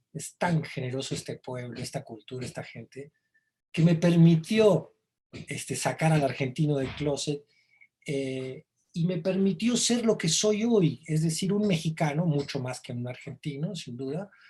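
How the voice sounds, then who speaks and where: A man's dark, mellow tone at a fairly slow pace, with lively intonation. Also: fairly high pitch for a man, big swings in loudness. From Argentina, Buenos Aires; raised in Mexico from age 12. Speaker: songwriter and novelist. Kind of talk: interview.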